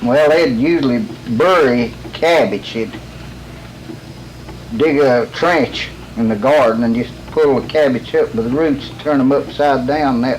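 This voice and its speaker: Speaking with a Southern Appalachian accent, a man talks at a fairly slow pace and medium pitch. Noticeable background noise runs underneath. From Western North Carolina. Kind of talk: interview answer.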